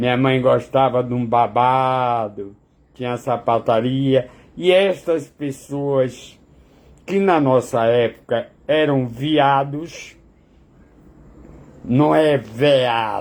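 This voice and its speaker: A man's medium-pitched voice at a very slow pace, with ordinary pitch variation and long, frequent pauses. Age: 70s. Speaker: vlogger. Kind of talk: casual monologue to camera. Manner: halting.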